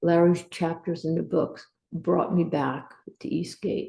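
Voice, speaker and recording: Her voice is fairly low, with a dark, mellow tone and vocal fry. The woman speaks at a fairly slow pace. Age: 60s. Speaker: Air Force veteran. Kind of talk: testimony.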